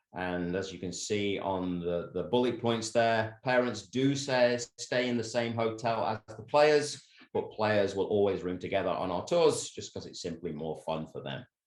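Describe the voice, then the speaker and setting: With an English accent, a man talks at a moderate pace and medium pitch. His intonation is lively, with hardly any pauses. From England. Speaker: soccer coach. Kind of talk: presentation. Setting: video call.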